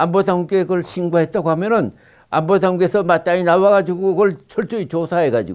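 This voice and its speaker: Against a quiet background, a man talks with a high pitch and fairly even intonation. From South Korea. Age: 80s+. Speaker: former intelligence officer. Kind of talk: interview. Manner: halting. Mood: earnest, firmly convinced. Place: studio. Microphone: lapel.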